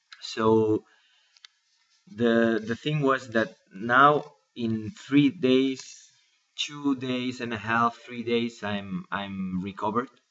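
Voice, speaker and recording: A man of medium pitch speaks at a very slow pace with ordinary pitch variation. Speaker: cancer patient vlogger. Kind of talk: personal video diary. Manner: halting, many fillers and repetitions.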